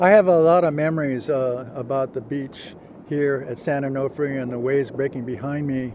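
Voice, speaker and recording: A man's fairly high voice at a moderate pace, ordinary pitch variation, and noticeable background noise behind him. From Hawaii (Honolulu). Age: 70s. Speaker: veteran surfer. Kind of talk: interview monologue. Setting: outdoors at a beach. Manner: halting, many fillers.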